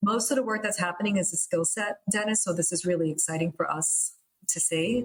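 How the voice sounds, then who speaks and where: In a New York accent, a woman talks at a fairly quick pace with a medium pitch and ordinary pitch variation. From US, Queens, New York City. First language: Italian. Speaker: construction program director. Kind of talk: interview. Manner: animated, gestures with hands.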